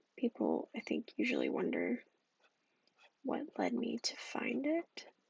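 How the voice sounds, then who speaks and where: A soft-spoken whisper at a fairly slow pace. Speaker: ASMR creator. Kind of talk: ASMR soft-spoken rambling. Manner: whispered and soft-spoken.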